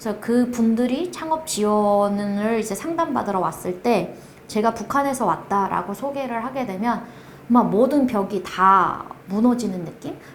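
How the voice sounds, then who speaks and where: At a fairly slow pace, a woman talks with lively intonation at a fairly high pitch. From North Korea. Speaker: project manager at a support organization. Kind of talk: interview. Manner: halting.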